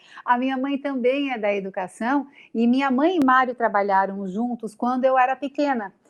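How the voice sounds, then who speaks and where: A woman's high-pitched voice at a moderate pace. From Brazil, Florianópolis, Santa Catarina. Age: 40s. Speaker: TV news presenter. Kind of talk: interview.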